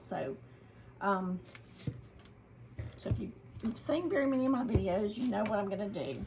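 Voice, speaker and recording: Over noticeable background noise, a woman with a Southern US accent speaks at a moderate pace and medium pitch. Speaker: craft youtuber. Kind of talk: tutorial. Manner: casual, with many fillers.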